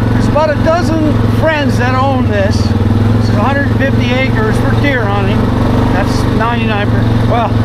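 A man talks with a dry sound with no echo while loud background noise fills the recording. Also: fairly slow pace. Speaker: ATV rider vlogger. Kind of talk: casual vlog chat. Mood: relaxed, joking. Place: open country.

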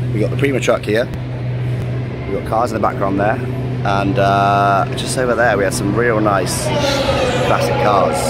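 Over background music, a man speaks at a moderate pace in a dry sound with no echo. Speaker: fan vlogger. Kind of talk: casual vlog chat. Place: street. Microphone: phone near.

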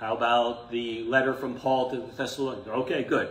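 Audible room echo surrounds a man talking at a fairly quick pace, his medium-pitched voice showing little pitch movement.

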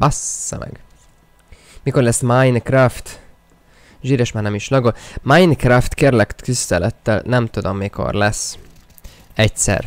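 The voice moves at a very slow pace with long, frequent pauses and ordinary pitch variation, in a dry sound with no echo. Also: man, medium pitch for a man. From Hungary. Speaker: gaming streamer. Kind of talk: live gaming stream commentary. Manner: animated. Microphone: new microphone; studio mic.

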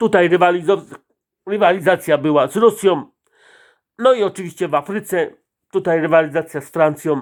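Speaking at a high pitch with ordinary pitch variation, a man moves at a fairly quick pace, yet with long, frequent pauses and big swings in loudness. The recording is very clean, with a silent background. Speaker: political commentator. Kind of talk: monologue. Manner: speeds up.

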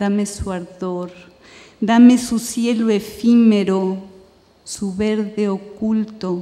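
A woman speaks quietly and very slowly in a monotone, flat intonation. Her loudness swings widely. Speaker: poet. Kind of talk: poetry reading in Spanish, the original poems. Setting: stage with audience, festival reading. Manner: measured, hushed, incantatory; lyrical cadence. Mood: calm, measured, lyrical. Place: stage. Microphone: podium.

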